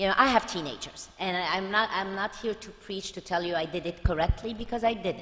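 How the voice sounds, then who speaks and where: A woman at a medium pitch with ordinary pitch variation, fairly quick pace, and noticeable background noise. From France. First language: French. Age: 50s. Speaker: pediatrician. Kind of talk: talk to parents.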